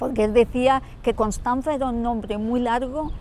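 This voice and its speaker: Using ordinary pitch variation, a woman talks at a fairly slow pace. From Andalusia, Huelva province. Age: 60s. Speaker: interviewee, local resident. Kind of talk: interview. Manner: halting, with repetitions.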